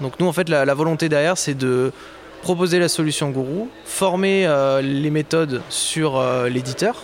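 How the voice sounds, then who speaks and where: Speaking at a fairly slow pace, a man with a fairly high pitch and ordinary pitch variation is heard over noticeable background noise. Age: 20s. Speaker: project manager at a tech start-up. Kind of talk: interview. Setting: live at a trade fair.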